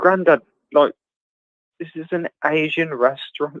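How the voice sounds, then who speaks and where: A man with a slight Birmingham accent speaks at a fairly slow pace. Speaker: travel vlogger and livestream host. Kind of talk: casual chat. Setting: video livestream chat.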